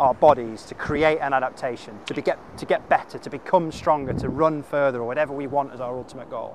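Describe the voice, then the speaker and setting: A man at a fairly quick pace, ordinary pitch variation, dry sound with no echo, and light background noise. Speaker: fitness coach. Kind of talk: tutorial. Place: beach.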